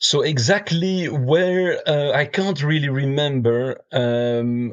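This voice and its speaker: Very slow speech with ordinary pitch variation. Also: man, fairly high pitch for a man. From Belgium. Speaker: brewer and beer judge. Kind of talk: podcast interview. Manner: hesitant, many fillers.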